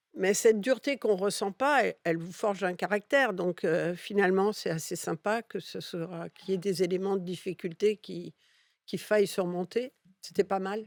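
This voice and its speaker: In a very clean recording with a silent background and a dry, close sound with no echo, a woman speaks at a moderate pace and medium pitch with ordinary pitch variation in a Catalan accent. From Catalonia, Spain (raised in France from childhood). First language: Catalan (speaking French). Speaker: advertising executive. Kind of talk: interview.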